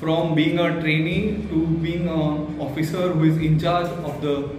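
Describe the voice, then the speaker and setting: Clear music in the background and audible room echo accompany a man speaking at a fairly slow pace. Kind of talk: testimonial. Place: office. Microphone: camera far.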